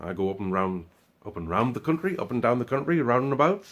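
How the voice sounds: A man with a Sunderland accent and lively intonation, in a very clean recording with a silent background. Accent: Sunderland, North East English.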